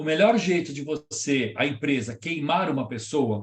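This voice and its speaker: Here a man is speaking. His intonation is lively. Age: 70s. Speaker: professor and lecturer on leadership. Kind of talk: lecture with audience Q&A. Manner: conversational.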